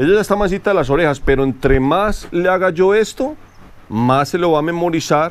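Here a man talks at a fairly quick pace with a high pitch and lively intonation. His loudness is very even. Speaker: horse trainer. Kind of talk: outdoor training tutorial. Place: farm.

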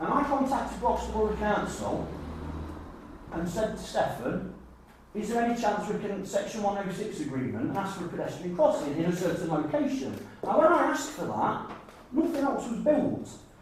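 The voice rises and falls in big pitch swings. Strong room echo surrounds it. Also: moderate pace.

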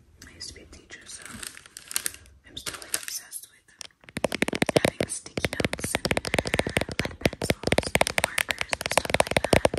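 Whispering and soft-spoken, the voice moves along with long, frequent pauses. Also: woman, moderate pace. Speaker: ASMR creator. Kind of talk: casual vlog chat. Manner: soft ASMR whisper.

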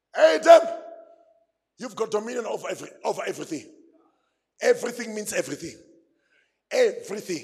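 Shouting at a very fast pace, a man speaks in an animated tone with big swings in loudness and long, frequent pauses. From South Africa. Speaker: pastor. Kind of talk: fiery call-and-response sermon to a men's gathering. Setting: church stage with live audience. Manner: animated, exhorting the crowd to shout back; repetitive, building emphasis through repeated phrases. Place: church. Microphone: handheld.

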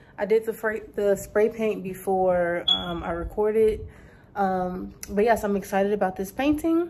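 A dark, mellow tone at a moderate pace. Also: woman. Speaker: painter and vlogger. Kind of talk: casual vlog intro. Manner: casual, hesitant with filler words. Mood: warm, excited. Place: home room. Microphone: phone near.

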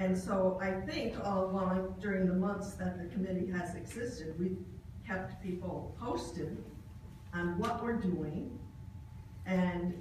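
A woman speaks at a fairly slow pace. Audible room echo surrounds her voice.

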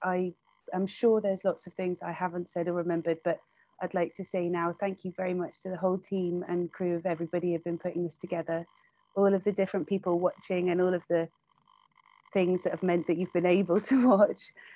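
A woman's dark, mellow tone, fairly quick pace and monotone, flat intonation, in a dry sound with no echo. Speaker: online conference host and interviewer; online conference host, interviewer. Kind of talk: live-streamed interview and moderation. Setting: live stream online. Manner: flustered multitasking, hesitant with fillers. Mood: warm, grateful. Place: home room. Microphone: earbuds.

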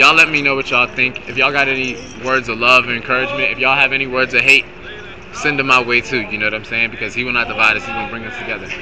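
A man at a very fast pace, monotone and flat in intonation, with noticeable background noise. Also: medium pitch for a man. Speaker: rapper. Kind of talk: street debate. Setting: outdoors. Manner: halting. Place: street.

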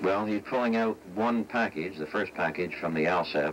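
American accent from a man at a moderate pace, ordinary pitch variation, and noticeable background noise. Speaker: former astronaut, television space analyst. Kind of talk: television news expert commentary.

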